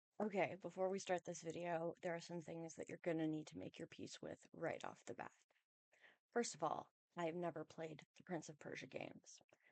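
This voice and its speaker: A soft-spoken woman talks at a moderate pace with a fairly low pitch and monotone, flat intonation. Her loudness swings widely, and the sound is dry and close with no echo. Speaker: video game movie commentator. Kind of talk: casual video essay commentary.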